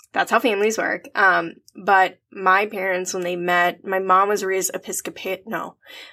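A woman's medium-pitched, bright and sharp voice, monotone and flat, at a moderate pace with hardly any pauses. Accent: Upper Midwest. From US Midwest, Minnesota (Twin Cities suburbs). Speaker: podcast co-host. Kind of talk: casual chat. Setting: remote call.

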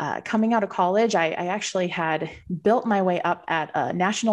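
Talking at a fairly quick pace, a woman uses a normal speaking voice with a medium pitch and ordinary pitch variation. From Southern Minnesota. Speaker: financial advisor. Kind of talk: interview.

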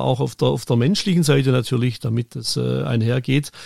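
Talking very quickly, a man lets his pitch move in a typical way. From Germany. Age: 50s. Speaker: football event production manager. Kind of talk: interview. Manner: halting, many fillers.

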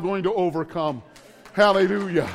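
The tone is animated, with ordinary pitch variation. The pace is moderate. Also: man. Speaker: preacher. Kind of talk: sermon. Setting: church. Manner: loud.

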